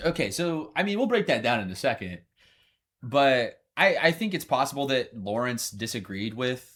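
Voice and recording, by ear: A man with an American accent talks at a moderate pace and a medium pitch. His pitch swings very widely, and the recording is very clean with a silent background.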